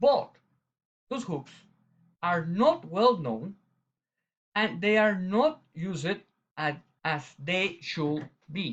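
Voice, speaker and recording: This man speaks very slowly in a strong Latin American accent, leaving long, frequent pauses. His pitch is high and his intonation lively. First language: Spanish. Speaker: eye surgeon. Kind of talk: conference presentation. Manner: halting.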